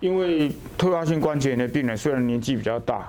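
Recorded with audible room echo and noticeable background noise, a man talks at a moderate pace with ordinary pitch variation. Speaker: orthopedic surgeon. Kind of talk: interview. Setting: hospital.

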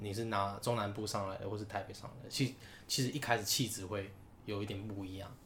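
Amid noticeable background noise and audible room echo, a man talks very fast at a fairly low pitch with fairly even intonation. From Taiwan, Taichung. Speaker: podcast co-host. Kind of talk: casual chat.

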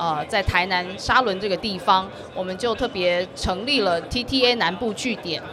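Noticeable background noise sits behind a woman speaking. She talks at a moderate pace with ordinary pitch variation. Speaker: government official. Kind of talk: interview. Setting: live expo floor.

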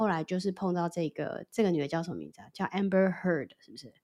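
Speaking very fast, a woman uses a medium pitch. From Taiwan. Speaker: podcast co-host. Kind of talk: casual chat.

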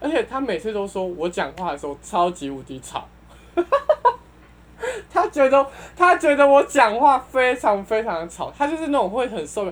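A woman with a high-pitched voice talks at a moderate pace, her pitch swinging very widely and her loudness in big swings. Noticeable background noise sits behind her. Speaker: returning podcast guest. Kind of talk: casual chat.

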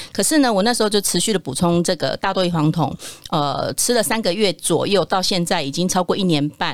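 A woman at a fairly quick pace, medium pitch and ordinary pitch variation, a plain, everyday voice. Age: 40s. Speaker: nutrition product developer, former nurse. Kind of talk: casual chat.

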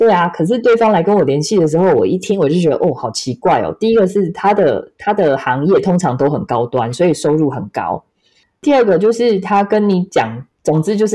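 Over a quiet background, a woman with a fairly low pitch talks at a fairly quick pace with hardly any pauses, her dark, mellow tone moving in very wide pitch swings. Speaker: podcast host and astrology consultant. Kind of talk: casual chat.

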